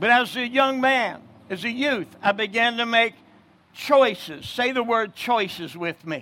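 A man with an American accent speaks in a raised, projected voice at a fairly slow pace. His pitch is extremely high, with a bright, sharp tone and ordinary pitch variation. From New Jersey. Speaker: evangelist. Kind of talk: sermon. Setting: outdoors.

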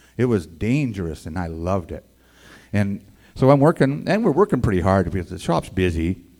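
A man's fairly low voice at a fairly quick pace, with lively intonation. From Edmonton, Alberta, Canada. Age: 60s. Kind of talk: testimony. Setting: stage with audience.

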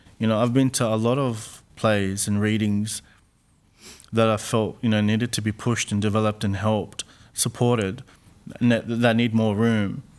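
The delivery is monotone and flat, on a very clean recording with a silent background. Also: man, fairly low pitch for a man, moderate pace. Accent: Australian. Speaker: playwright. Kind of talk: interview. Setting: studio.

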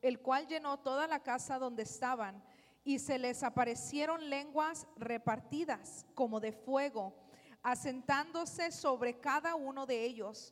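A woman's high-pitched voice, ordinary pitch variation, fairly slow pace. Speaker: sermon interpreter. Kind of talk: consecutive interpreting of a sermon, echoing the preacher line by line. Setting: church.

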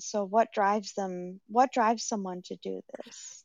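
Here a woman with an American accent uses a normal speaking voice at medium pitch. Her pace is moderate and her intonation fairly even. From Rhode Island, US. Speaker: caller. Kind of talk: casual call-in chat. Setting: phone call.

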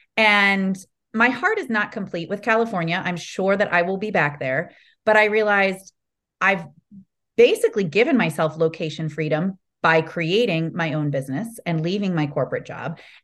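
A woman speaks in a Midwestern accent at a moderate pace against a quiet background. Her pitch is medium, with ordinary variation. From Ohio, US Midwest. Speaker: sales coach. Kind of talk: podcast interview.

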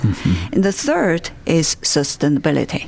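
At a fairly slow pace, a woman speaks with a Chinese accent. Noticeable background noise is present. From China. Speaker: startup founder and food scientist. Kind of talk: interview.

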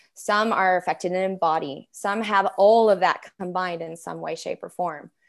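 This is a normal speaking voice at a fairly slow pace, with ordinary pitch variation, in a very clean recording with a silent background. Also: woman. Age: 40s. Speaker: religious trauma therapist and coach. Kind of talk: interview.

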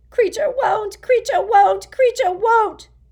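In a put-on character voice, the speaker is loud and croaky, with an extremely high pitch and a fairly slow pace. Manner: loud, agitated.

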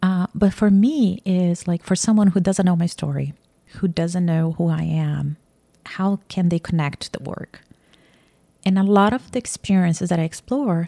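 The voice has a dark, mellow tone and a Portuguese accent, at a moderate pace with long, frequent pauses. The sound is dry and close, with no echo. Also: woman. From Brazil, Campinas (São Paulo state). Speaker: artist and painting instructor. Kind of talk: casual interview. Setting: artist's studio.

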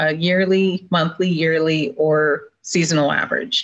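A woman's fairly low voice, an unremarkable speaking voice, at a fairly slow pace with fairly even intonation. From Minnesota. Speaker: meteorologist. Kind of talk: interview. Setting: video call from home. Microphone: video call audio, lower quality.

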